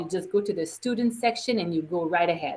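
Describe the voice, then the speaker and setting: Speaking in a normal speaking voice, a woman talks at a medium pitch with ordinary pitch variation. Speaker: parent workshop presenter. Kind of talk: online workshop presentation. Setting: online video session.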